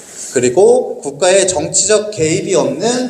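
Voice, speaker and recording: Pitch moves in a usual way while noticeable noise sits in the background. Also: man. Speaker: lecturer on social economy. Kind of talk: lecture.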